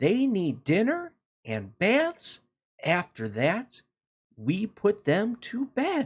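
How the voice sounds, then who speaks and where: A man puts on a character voice at a high pitch. He speaks at a very slow pace. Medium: read story. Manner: confident, matter-of-fact.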